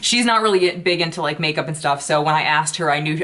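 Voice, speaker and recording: Noticeable background noise sits behind a woman talking at a very fast pace. Her pitch is very deep and low, with ordinary pitch variation. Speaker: beauty YouTuber. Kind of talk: casual vlog chat.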